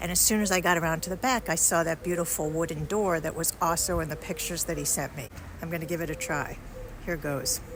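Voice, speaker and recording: Soft-spoken and very fast, the speaker talks with an American accent over noticeable background noise. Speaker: travel vlogger. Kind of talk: casual vlog narration. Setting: outdoors. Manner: quiet, soft-spoken.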